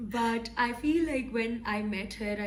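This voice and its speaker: Audible room echo is present. A woman talks through it. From Pakistan, Lahore. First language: not English. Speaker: podcast co-host. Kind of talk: casual chat.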